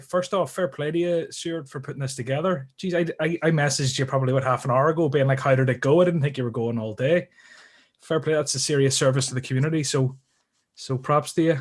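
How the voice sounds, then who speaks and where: Speaking with an Irish accent, a man talks at a fairly quick pace in a fairly high, somewhat breathy voice with ordinary pitch variation. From Ireland. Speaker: guest in a trading community chat. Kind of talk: casual live stream chat.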